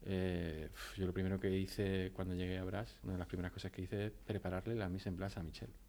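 Very fast and fairly even in intonation, a man speaks with a very deep, low pitch and a dark, mellow tone. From Spain, Almería. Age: 30s. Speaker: chef. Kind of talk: interview.

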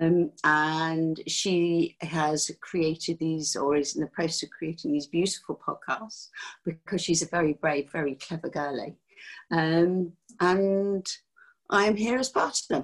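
A woman with a southern English accent talks at a fairly slow pace. Her pitch is fairly low, with ordinary pitch variation. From England, near London. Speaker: life coach. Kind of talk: casual chat.

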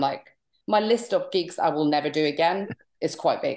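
A woman with a Norwegian accent at a moderate pace. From Norway. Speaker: stand-up comedian. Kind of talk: interview. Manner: animated.

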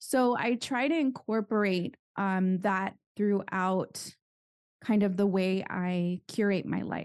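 Speaking very slowly in an American accent, a woman uses a medium pitch with ordinary pitch variation. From Southern California. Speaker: investment educator and author. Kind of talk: interview.

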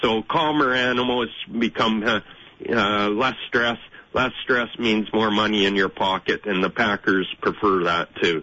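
This man has an ordinary speaking voice with a fairly low pitch and ordinary pitch variation. He speaks at a fairly slow pace. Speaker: cattle farmer. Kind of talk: radio interview.

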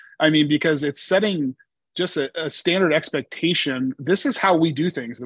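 Recorded with a dry, close sound and no echo, a man with a normal speaking voice and an American accent speaks at a moderate pace in a fairly high pitch. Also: ordinary pitch variation. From Oregon, US. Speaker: insurance agency CEO. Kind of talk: interview.

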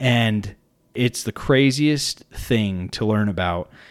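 A man with an American accent, medium pitch and lively intonation, in a very clean recording with a silent background. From northern Utah, US. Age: 30s. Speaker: podcast host. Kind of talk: solo monologue podcast. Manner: hesitant, with fillers and restarts.

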